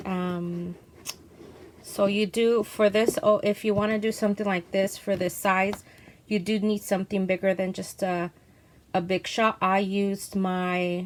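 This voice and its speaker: A woman speaks in a medium pitch at a fairly slow pace, her intonation monotone and flat. She leaves long, frequent pauses. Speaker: craft youtuber. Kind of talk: tutorial. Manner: halting, many ums; casual.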